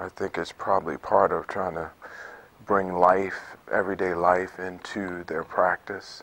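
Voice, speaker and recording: A man's very deep, low voice in an American accent, monotone and flat at a fairly slow pace. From Atlanta, Georgia, US South; Georgia. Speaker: artist; interviewee. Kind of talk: interview; interview answer. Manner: halting, many fillers. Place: hall. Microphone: lapel.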